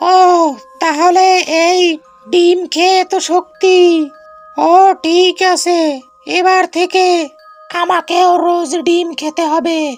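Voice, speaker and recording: This cartoonish character voice is squeaky and extremely high-pitched, delivered at a very slow pace. Faint music plays in the background. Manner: whiny, dramatic.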